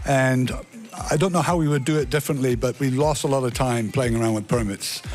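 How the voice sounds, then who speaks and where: Music plays in the background as a man talks at a fairly quick pace. His loudness stays very even, with ordinary pitch variation. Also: medium pitch for a man. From United States. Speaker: company CEO. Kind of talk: radio interview. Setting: radio studio.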